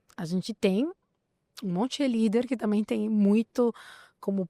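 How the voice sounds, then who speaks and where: A woman's fairly high-pitched voice with a non-native accent and lively intonation at a fairly slow pace, dry and close with no echo, on a very clean recording with a silent background. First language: not Portuguese (speaking Portuguese). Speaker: podcast host. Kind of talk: podcast conversation.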